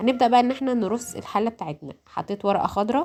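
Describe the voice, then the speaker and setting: A woman with an Egyptian accent. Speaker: home cooking youtuber. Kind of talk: cooking tutorial voice-over. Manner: halting, many fillers and restarts; casual, conversational.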